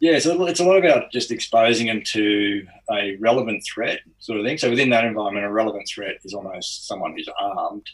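A man with an Australian accent at a medium pitch, talking at a fairly quick pace with lively intonation and hardly any pauses. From Australia, outside Sydney (Lower Blue Mountains). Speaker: ex-special forces soldier and strength coach. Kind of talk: interview.

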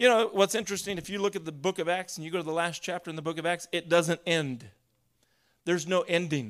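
Speaking at a very fast pace, a man with a high pitch uses ordinary pitch variation. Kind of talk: sermon. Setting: church with a live congregation. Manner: animated, call-and-response preaching that urges the congregation to shout and say amen; warm, conversational teaching pace with occasional laughs.

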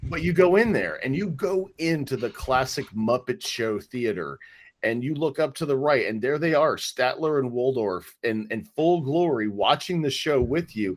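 With lively intonation and hardly any pauses, a normal speaking voice moves at a moderate pace on a very clean recording with a silent background. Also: man, medium pitch for a man. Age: 40s. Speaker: podcast co-host. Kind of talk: casual chat, podcast conversation.

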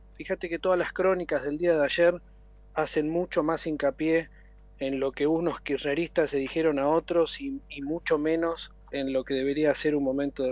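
At a moderate pace, a man talks in a high voice. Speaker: city government official. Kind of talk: interview. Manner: halting, many fillers.

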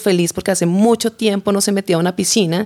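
In a very clean recording with a silent background, a woman uses a normal speaking voice at a medium pitch, moderate pace and fairly even intonation. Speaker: journalist, chronicle writer. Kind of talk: interview, storytelling.

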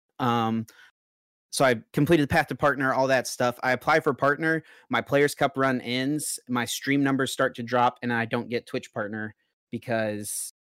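A man with an American accent has an unremarkable speaking voice, ordinary pitch variation and a moderate pace. The recording is very clean, with a silent background and a dry, close sound with no echo. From North Carolina. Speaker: card game player and streamer. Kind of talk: casual chat.

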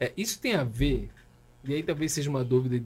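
The voice is a man's, medium in pitch, with ordinary pitch variation. His tone is dark and mellow and somewhat breathy. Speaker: pastor, podcast host. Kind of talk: casual interview chat.

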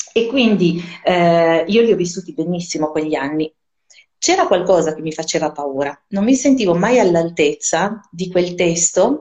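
Fairly low in pitch, a woman speaks at a moderate pace with ordinary pitch variation, an ordinary speaking voice. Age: 40s. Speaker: Hebrew scholar, musician and writer. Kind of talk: casual interview. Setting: live stream.

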